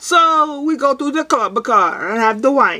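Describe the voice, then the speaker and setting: A woman speaks in a raised, projected voice at a fairly slow pace. Her intonation is lively. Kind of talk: casual vlog joke telling. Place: home room. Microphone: webcam.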